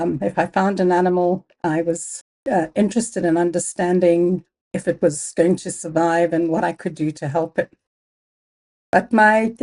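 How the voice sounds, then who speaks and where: A woman's fairly low, dark and mellow voice with a Zimbabwean accent, at a moderate pace, in a dry, close sound with no echo. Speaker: biology professor. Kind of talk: interview.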